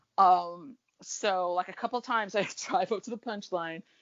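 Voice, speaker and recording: A woman's medium-pitched voice in an American accent, with ordinary pitch variation. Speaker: comedy fan. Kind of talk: casual chat. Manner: fast when excited.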